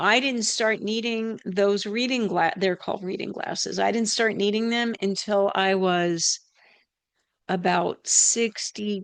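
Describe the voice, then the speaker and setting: A woman's unremarkable speaking voice at a medium pitch, delivered at a fairly slow pace. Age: 60s. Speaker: health practitioner and channel host. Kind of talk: educational health talk. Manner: casual, conversational with filler words.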